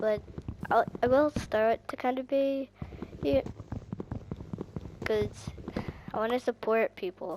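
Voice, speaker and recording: A woman with a fairly high pitch speaks very slowly with long, frequent pauses and ordinary pitch variation, the sound dry and close with no echo but with noticeable background noise. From Ireland. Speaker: gaming YouTuber. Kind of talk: casual gameplay commentary. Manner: animated, excitable.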